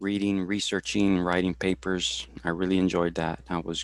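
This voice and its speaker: Very deep and low, a man's voice with a Spanish accent moves at a fairly slow pace in a flat monotone, recorded very cleanly with a silent background and a dry, close sound free of echo. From Houston, Texas. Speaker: supervisor for veterans, career talk presenter. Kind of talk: career talk interview. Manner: halting, many fillers and repetitions.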